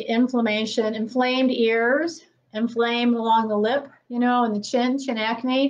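Speaking at a moderate pace, a woman has a high pitch. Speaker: presenter. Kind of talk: lecture. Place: classroom. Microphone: camera far.

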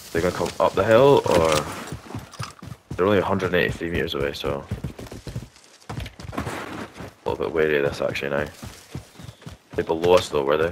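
Over noticeable background noise, a man with a very deep, low pitch talks at a fairly quick pace, using ordinary pitch variation and long, frequent pauses. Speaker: gamer. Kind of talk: casual chat.

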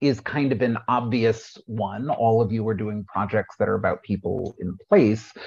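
Over a quiet background, a man talks at a fairly slow pace in a somewhat breathy voice. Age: middle-aged. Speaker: panel moderator. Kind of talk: moderated panel discussion. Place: home room. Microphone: video call.

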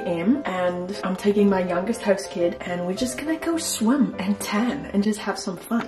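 Over clear background music, a woman speaks with lively intonation and hardly any pauses. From South Africa. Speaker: au pair. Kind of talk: casual vlog talk to camera. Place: home room. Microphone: phone near.

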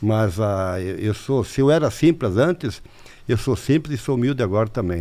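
Here a man speaks with a normal speaking voice. His pace is moderate and his intonation lively. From Santa Catarina, southern Brazil. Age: 60s. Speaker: mayor. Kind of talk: interview.

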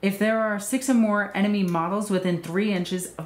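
The voice is somewhat breathy, and audible room echo surrounds it. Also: woman. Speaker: gaming YouTuber reviewing tabletop miniatures codex. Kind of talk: review commentary with rants. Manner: animated, rambling, chatty. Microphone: phone near.

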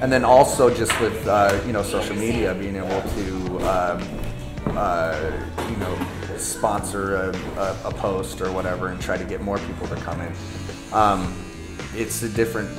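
A man at a fairly slow pace, with ordinary pitch variation and clear music in the background. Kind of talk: interview answer. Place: shop.

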